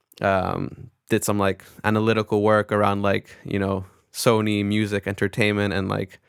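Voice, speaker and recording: Someone with an American accent speaks at a moderate pace in monotone, flat intonation. The recording is very clean with a silent background, dry and close with no echo. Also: man, fairly low pitch for a man. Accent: American-sounding, little foreign. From Netherlands, American expat school. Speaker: record label executive. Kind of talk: interview, casual chat. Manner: casual, many fillers.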